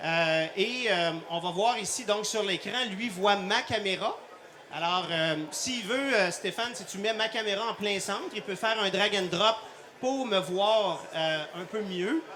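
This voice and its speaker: Raising and projecting his voice over noticeable background noise, a man with a Quebec accent speaks very slowly at a high pitch with ordinary pitch variation. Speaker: cardiologist and intensive care doctor. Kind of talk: live product demonstration. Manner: hesitant, many fillers.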